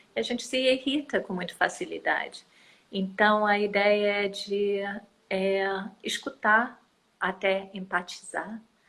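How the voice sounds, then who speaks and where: Using a non-native accent, a woman speaks at medium pitch and a very slow pace, with long, frequent pauses. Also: fairly even intonation. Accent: foreign accent in Portuguese. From United States. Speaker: environmental activist. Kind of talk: interview. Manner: hesitant, many fillers.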